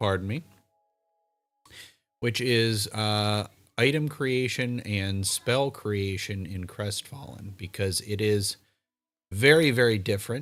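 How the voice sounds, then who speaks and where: A man's fairly low voice at a very slow pace with long, frequent pauses, on a very clean recording with a silent background. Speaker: live streamer and game organizer. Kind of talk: livestream talk. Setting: home livestream. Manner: monotone; halting.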